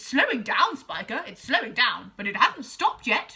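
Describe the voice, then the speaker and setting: Using a put-on character voice, a woman speaks high in pitch at a moderate pace, her loudness swinging widely. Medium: read story. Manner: excitable, greedy.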